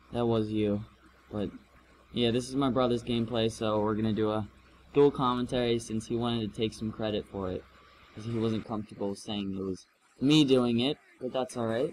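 The speech moves at a fairly quick pace but has long, frequent pauses. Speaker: gaming commentator. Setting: at home with dog barking. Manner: loud.

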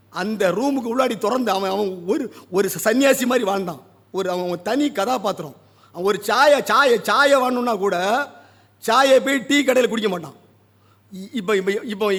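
The man's voice is high-pitched, and its pitch varies in an ordinary way. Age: 50s. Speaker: poet and literary critic. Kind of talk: literary review speech. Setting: stage at a book launch.

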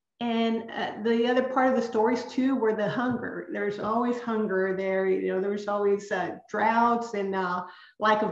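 A woman speaks with ordinary pitch variation. The room echo is audible, but the background is quiet. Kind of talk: lecture. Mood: earnest, reflective. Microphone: webcam.

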